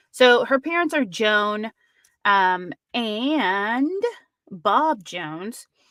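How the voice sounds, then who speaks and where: A woman's fairly high, bright, sharp voice at a very slow pace with very wide pitch swings, in a very clean recording with a silent background. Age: 30s. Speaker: true crime podcast host. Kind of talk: live stream true crime discussion. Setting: live stream. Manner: casual, with many fillers.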